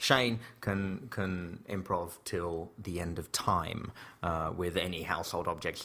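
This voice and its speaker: A man with an English accent, very deep and low in pitch, bright and sharp in tone, fairly even in intonation, at a fairly slow pace. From England (Slough). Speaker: comedian and theatre performer. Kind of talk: casual interview chat. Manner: hesitant, many fillers and restarts.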